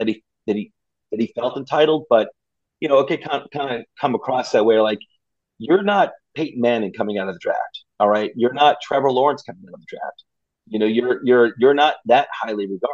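Man with an American accent and an unremarkable speaking voice, medium pitch, ordinary pitch variation, fairly quick pace. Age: 50s. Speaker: sports blogger. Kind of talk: casual chat.

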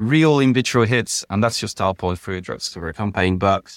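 With a French accent, a man is heard in a very clean recording with a silent background and a dry, close sound with no echo. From France. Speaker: medicinal chemist. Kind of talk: interview. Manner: halting.

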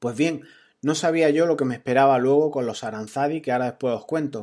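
Against a quiet background, a man with a fairly high pitch speaks in a normal speaking voice with ordinary pitch variation. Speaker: podcaster on productivity. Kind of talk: storytelling monologue. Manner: casual.

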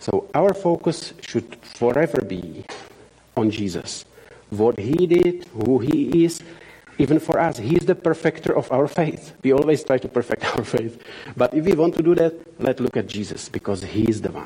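With noticeable background noise, a man with a Czech accent speaks at a moderate pace in a fairly high pitch with lively intonation. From Czech Republic. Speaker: missionary. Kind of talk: church talk / sermon. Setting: church with audience. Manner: halting, frequent fillers.

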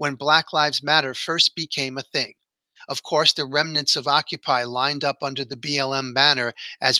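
The reading is done in an unforced reading voice. Intonation stays fairly even against a quiet background.

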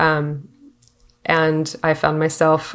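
A woman's very deep, low-pitched voice. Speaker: interviewer. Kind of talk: casual interview conversation.

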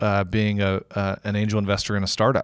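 A plain, everyday voice with an American accent at a fairly quick pace, very clean recording with a silent background, dry and close with no echo. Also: man. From Texas, Houston. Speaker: innovation studio managing director, army veteran. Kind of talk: podcast interview.

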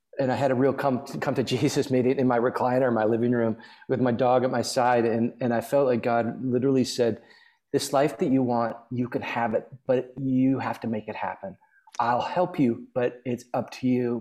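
A man with an American accent, a medium pitch, and a dark, mellow tone, at a moderate pace with fairly even intonation. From US Midwest (Minneapolis, Nebraska). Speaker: singer-songwriter and author. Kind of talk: casual chat.

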